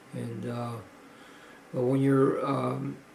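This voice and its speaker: A man's voice with audible room echo. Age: 70s. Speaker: powerlifter vlogger. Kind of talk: video log. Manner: halting, many fillers.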